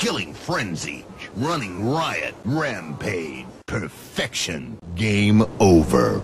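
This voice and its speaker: A man's fairly low voice at a very slow pace, dramatic in tone, with very wide pitch swings. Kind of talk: station announcer. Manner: dramatic and emphatic, building excitement on streak names.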